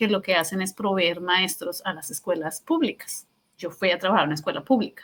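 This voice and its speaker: Speaking in a Colombian accent at a moderate pace, a woman uses a medium pitch with a bright, sharp tone and ordinary pitch variation. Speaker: teacher. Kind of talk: interview. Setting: podcast. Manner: halting.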